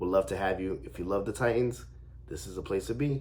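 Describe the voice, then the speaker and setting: A somewhat breathy male voice moves through ordinary pitch variation. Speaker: sports fan youtuber. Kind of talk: casual vlog commentary. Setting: at home. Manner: hesitant with fillers.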